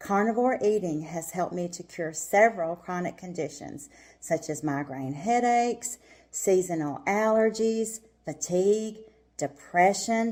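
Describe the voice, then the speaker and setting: A woman with a medium pitch, a normal speaking voice, and lively intonation. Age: 60s. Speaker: testimonial speaker. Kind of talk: testimony.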